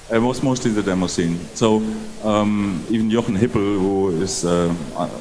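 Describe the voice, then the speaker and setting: A man's fairly low voice at a moderate pace, with very even loudness, fairly even intonation, noticeable background noise, and audible room echo. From Germany. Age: 60s. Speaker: game developer. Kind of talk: interview.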